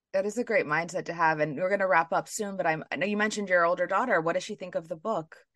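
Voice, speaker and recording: Talking at a very fast pace with hardly any pauses, a woman uses a medium pitch, ordinary pitch variation and an American accent. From New York City. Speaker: podcast host. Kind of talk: interview.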